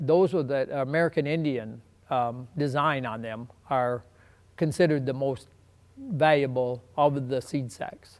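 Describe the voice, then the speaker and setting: A man with an Upper Midwest accent speaks in a fairly high pitch with ordinary pitch variation. His pace is fairly slow. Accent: Upper Midwest (Minnesota). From southwestern Minnesota. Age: 70s. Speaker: seed sack collector. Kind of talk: documentary interview. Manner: hesitant, many fillers.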